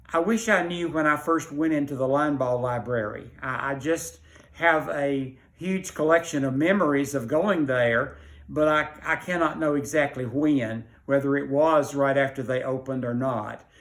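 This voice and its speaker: This man speaks with a Middle Tennessee accent. His pitch is fairly high. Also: ordinary pitch variation, moderate pace. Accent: Southern US (Middle Tennessee). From Tennessee, Rutherford County. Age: 80s+. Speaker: library patron. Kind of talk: personal reminiscence. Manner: hesitant with fillers.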